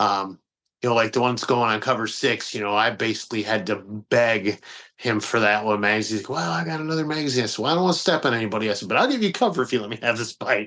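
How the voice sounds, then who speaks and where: Speaking very fast with an American accent, a man has a bright, sharp tone at medium pitch with ordinary pitch variation. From Detroit, US Midwest. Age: 40s. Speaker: magazine publisher. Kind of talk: podcast interview. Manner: casual, halting with fillers.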